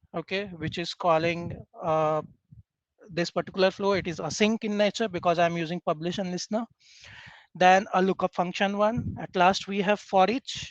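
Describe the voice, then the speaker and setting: Moderate pace over a quiet background, with a dry sound and no echo. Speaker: software trainer; software trainer presenting. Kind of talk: tutorial. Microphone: video call.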